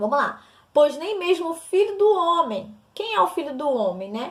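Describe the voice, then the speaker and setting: A woman's voice at a fairly slow pace, with very wide pitch swings. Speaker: missionary and course teacher. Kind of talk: recorded lesson.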